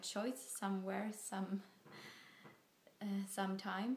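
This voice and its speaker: With audible room echo, a woman of medium pitch speaks very slowly in a somewhat breathy voice. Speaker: vlogger. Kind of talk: casual talk to camera. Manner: slow, hesitant. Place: home room. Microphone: phone near.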